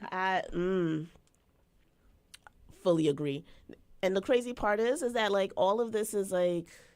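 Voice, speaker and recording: A woman with a Jamaican accent speaks at a fairly slow pace and medium pitch, using an animated tone, ordinary pitch variation, very even loudness and long, frequent pauses. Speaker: live stream co-host. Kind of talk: casual chat. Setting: live stream.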